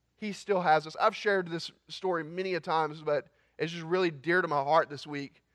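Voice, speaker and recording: A man with a fairly high pitch speaks in a plain, everyday voice. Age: 20s. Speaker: student pastor. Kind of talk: sermon.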